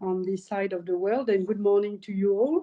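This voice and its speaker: A woman speaks in a French accent. Her tone is dark and mellow. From France. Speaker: company founder. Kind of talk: webinar testimony.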